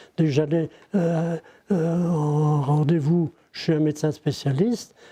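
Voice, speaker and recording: This man's voice has a dark, mellow tone at a fairly high pitch. His intonation stays fairly even. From Ille-et-Vilaine, Brittany, France. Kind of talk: interview answer. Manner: hesitant.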